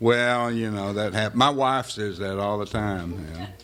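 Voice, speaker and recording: Audible room echo surrounds the recording. The man's pitch is fairly low. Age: 60s. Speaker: political candidate. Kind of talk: campaign speech. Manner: casual, joking.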